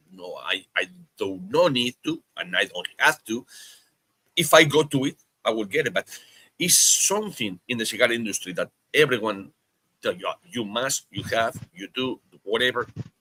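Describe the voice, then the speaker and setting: In a dry, close sound with no echo, a man with a Spanish accent speaks at a moderate pace and medium pitch, with lively intonation, a bright, sharp tone, and long, frequent pauses. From Spain. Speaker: podcast host. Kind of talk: casual chat.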